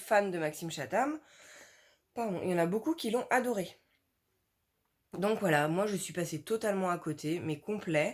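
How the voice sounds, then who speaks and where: On a very clean recording with a silent background, a woman at medium pitch speaks at a moderate pace with lively intonation and long, frequent pauses. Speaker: book YouTuber. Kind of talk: casual vlog talk. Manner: animated.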